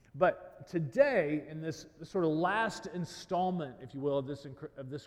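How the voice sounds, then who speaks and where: This man talks at a fairly slow pace with a fairly high pitch and an ordinary speaking voice. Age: 30s. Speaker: pastor. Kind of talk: sermon.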